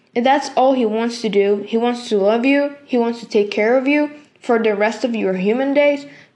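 At a moderate pace, a woman with a fairly high pitch and ordinary pitch variation keeps her loudness very even while room echo stays audible. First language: Spanish. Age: 20s. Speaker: podcast host, youth ministry worker. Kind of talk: devotional talk. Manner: halting, many fillers.

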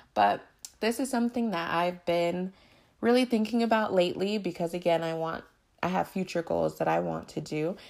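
Over a silent background in a very clean recording, a woman with a fairly low pitch talks at a moderate pace in an animated tone, with ordinary pitch variation. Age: 20s. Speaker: podcast host. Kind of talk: casual monologue.

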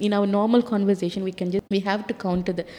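Noticeable background noise sits behind a woman's voice. She talks at a very fast pace and a medium pitch. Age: 40s. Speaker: freedom of expression advocate. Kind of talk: panel discussion.

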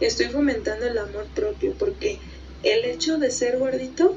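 A woman speaking at a very slow pace. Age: 20s. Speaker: plus-size model. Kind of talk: testimony.

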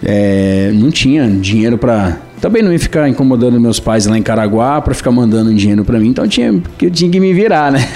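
A man talks at a fairly quick clip with hardly any pauses, very even loudness and lively intonation over noticeable background noise. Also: medium pitch for a man. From Brazil, São Paulo north coast (Caraguatatuba). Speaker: musician. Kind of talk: radio interview.

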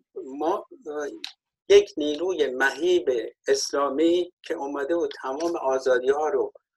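A man speaks at a very slow pace. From Iran, Golpayegan. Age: 60s. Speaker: former political activist. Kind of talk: panel discussion.

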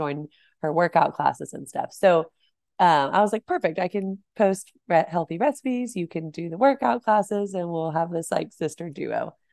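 In an American accent and an unremarkable speaking voice, a woman with fairly low pitch talks at a moderate pace with ordinary pitch variation, the sound dry and close with no echo over a quiet background. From Texas, north of Dallas. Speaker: cookbook author and food blogger. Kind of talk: casual interview.

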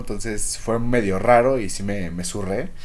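A man's animated tone at medium pitch, with lively intonation and audible room echo. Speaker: podcast host. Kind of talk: casual chat.

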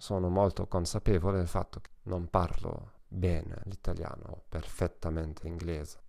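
A man with a German accent speaks in a very deep, low pitch and a dark, mellow tone on a very clean recording with a silent background. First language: German (speaking Italian). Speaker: psychologist and language teacher. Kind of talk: solo podcast talk. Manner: halting.

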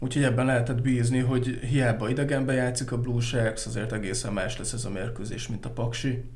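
The man's voice sits at a medium pitch. He talks at a moderate pace in a flat monotone. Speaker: sports journalist. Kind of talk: casual chat.

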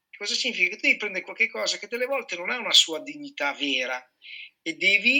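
This man's high-pitched, raised and projected voice swings very widely in pitch. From Piedmont, Italy (Sardinian parents). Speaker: chef and culinary trainer. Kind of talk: casual chat.

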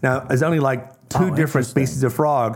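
A man talks at a fairly quick pace with an Australian accent. His intonation stays fairly even. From Australia (Tasmania), partly raised in Hong Kong. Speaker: zoologist and wildlife conservationist. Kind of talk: casual chat.

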